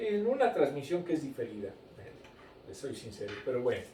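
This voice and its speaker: A man speaks at a moderate pace. Audible room echo and noticeable background noise surround him. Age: 60s. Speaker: Sunday school teacher. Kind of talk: Bible lesson. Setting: recorded broadcast.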